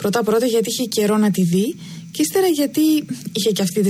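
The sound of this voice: The reading voice is unforced. Intonation rises and falls in a lively way.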